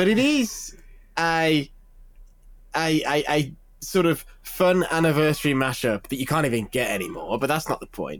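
This man has an unremarkable speaking voice, fairly high in pitch, with lively intonation at a moderate pace. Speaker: games journalist. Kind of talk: casual chat.

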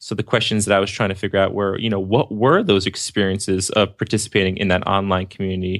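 On a very clean recording with a silent background, a man with an East Coast US accent talks at a fairly quick pace and a fairly low pitch. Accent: East Coast pronunciation of water. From New Jersey, near the Jersey Shore. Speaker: speech pathologist and app developer. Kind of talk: casual interview chat. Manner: animated.

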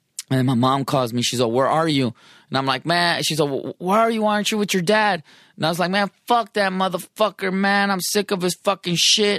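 A man with an American accent speaks at a high pitch with lively intonation and a bright, sharp tone, the sound dry and close with no echo. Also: very clean recording, silent background. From San Diego, California. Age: 40s. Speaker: musician. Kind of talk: casual chat. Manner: animated.

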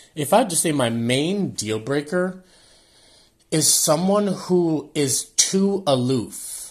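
A man with an American accent speaks at a very slow pace. His voice is fairly high, with lively intonation.

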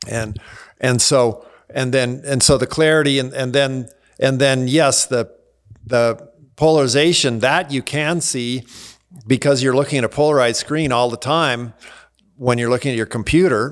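A man with an ordinary speaking voice talks at medium pitch. Intonation stays fairly even, at a moderate pace. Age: 60s. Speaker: cycling tech writer. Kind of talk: casual interview. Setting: studio, same room as host.

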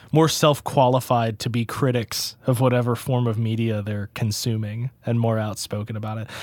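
This is a man at medium pitch. He has a plain, everyday voice. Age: 20s. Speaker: touring metal musician and recording engineer. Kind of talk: casual chat.

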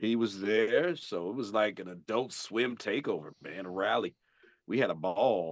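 Speaking at a moderate pace, the man has an ordinary speaking voice, fairly low in pitch, with ordinary pitch variation. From St. Louis, Missouri. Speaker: voice actor. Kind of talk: casual interview chat.

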